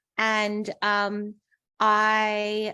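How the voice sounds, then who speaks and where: A bright, sharp tone against a quiet background. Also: woman. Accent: Australian. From Australia, Darwin. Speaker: patient, transplant survivor. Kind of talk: interview.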